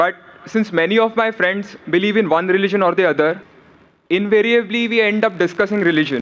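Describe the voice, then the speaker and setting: A man's high-pitched voice with ordinary pitch variation and very even loudness. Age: young. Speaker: audience questioner, student. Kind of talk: audience question. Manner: formal.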